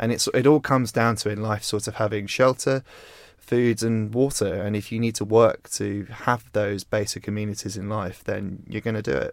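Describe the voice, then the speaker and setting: Here a man uses a normal speaking voice at a fairly low pitch. His intonation stays fairly even, and his pace is moderate. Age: 20s. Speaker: magazine founder and editor. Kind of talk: interview.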